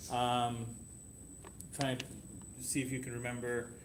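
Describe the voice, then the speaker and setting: A man speaks in a room with audible echo. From Canada. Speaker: homeopathy teacher. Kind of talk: classroom lesson. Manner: halting, many restarts.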